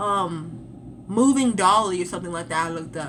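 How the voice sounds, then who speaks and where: Amid audible room echo and noticeable background noise, a woman with a medium-pitched voice speaks with lively intonation. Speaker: vlogger. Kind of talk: casual chat. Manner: fast.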